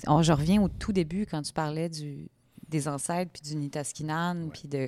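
Fairly even intonation marks a woman's very deep, low voice on a very clean recording where the background is silent. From Quebec, Shawinigan. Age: 30s. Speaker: podcast host. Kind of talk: interview conversation; scripted narration.

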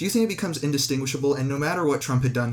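This is a man speaking. His voice sounds somewhat breathy. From Canada. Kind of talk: casual debate.

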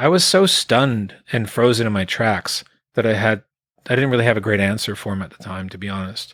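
A man with a normal speaking voice, fairly low-pitched, ordinary pitch variation and big swings in loudness. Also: fairly quick pace. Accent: Canadian. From Quebec, Canada (Eastern Townships), raised in Alberta from about 1980. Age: 50s. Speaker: singer-songwriter. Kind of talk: casual interview. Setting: remote online call.

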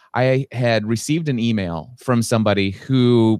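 A man with a normal speaking voice at a medium pitch and ordinary pitch variation, with a dry, close sound with no echo on a very clean recording with a silent background. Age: 40s. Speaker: business and life coach. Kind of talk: interview. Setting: podcast recording.

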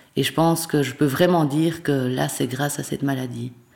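Very deep and low for a woman, her voice has a dark, mellow tone and vocal fry. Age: 40s. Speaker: primary school teacher with Parkinson's disease. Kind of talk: testimony. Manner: halting, frequent hesitations and repetitions.

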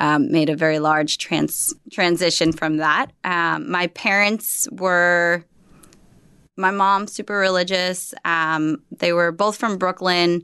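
A woman with an American accent speaks fairly slowly in a fairly low pitch with ordinary pitch variation, a normal speaking voice over a quiet background. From New Jersey, US. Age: 30s. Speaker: life coach and yoga instructor. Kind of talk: casual interview.

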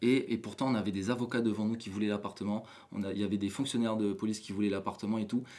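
Speaking at a very fast pace is a man. He uses monotone, flat intonation. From New Caledonia. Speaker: photographer. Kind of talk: casual interview. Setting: hotel room.

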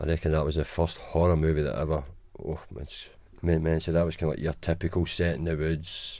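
A man with a Glaswegian accent talks at a fairly quick pace in a very deep, low pitch, with a dark, mellow tone, vocal fry and monotone, flat intonation. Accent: Glaswegian Scottish. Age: 40s. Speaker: guest, host's father. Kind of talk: casual chat.

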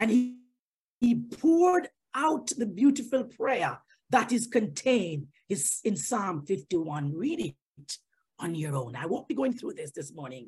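The voice is animated and fairly slow, with vocal fry, very wide pitch swings and big swings in loudness. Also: woman, fairly high pitch for a woman. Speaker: lay preacher. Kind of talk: sermon. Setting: online service.

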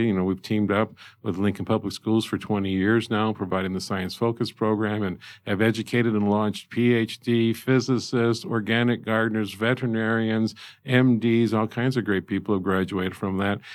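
On a very clean recording with a silent background, a man with a Midwestern American accent speaks at a fairly quick pace and a fairly low pitch. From Indiana, US Midwest. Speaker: zoo director. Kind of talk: interview. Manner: animated.

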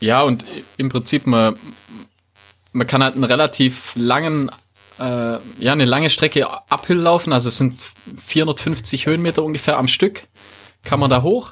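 A man speaks with a Swabian accent at a moderate pace. He leaves long, frequent pauses. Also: fairly high pitch for a man, ordinary pitch variation. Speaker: running podcast host. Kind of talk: casual chat.

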